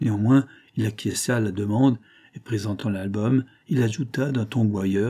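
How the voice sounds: Normal pitch movement runs through this natural reading voice.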